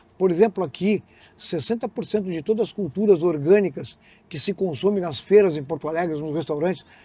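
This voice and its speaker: Over a quiet background, a man speaks at a fairly quick pace in a high voice, with big swings in loudness. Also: ordinary pitch variation. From southern Rio Grande do Sul, Brazil (Canguçu). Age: 60s. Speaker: resort founder, entrepreneur. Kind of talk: podcast interview.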